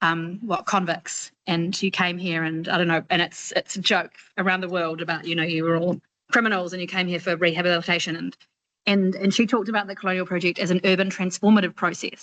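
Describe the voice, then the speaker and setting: In a New Zealand accent, a woman with a fairly low pitch and a bright, sharp tone talks at a very fast pace against a quiet background. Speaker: doctoral student. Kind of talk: Q&A question in online seminar. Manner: animated, casual.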